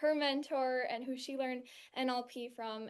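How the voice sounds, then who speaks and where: A woman's high-pitched voice with a West Coast US accent, at a moderate pace and with fairly even intonation. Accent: General American (West Coast). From California, US. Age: 20s. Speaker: NLP coach and trainee. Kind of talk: testimony. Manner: halting, with repeated words.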